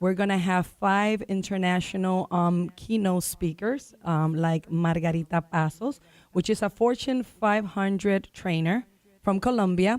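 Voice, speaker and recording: A woman at a medium pitch with a Spanish accent, fairly slow pace, very even loudness and ordinary pitch variation. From Dominican Republic. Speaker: realtor. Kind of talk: radio talk show guest promoting an event. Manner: animated.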